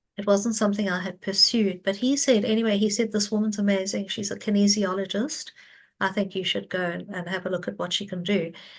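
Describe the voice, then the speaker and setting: Against a quiet background, a woman talks at a fairly quick pace with a medium pitch, fairly even intonation, and a somewhat breathy voice. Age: 60s. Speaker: psychic healer. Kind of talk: interview testimony.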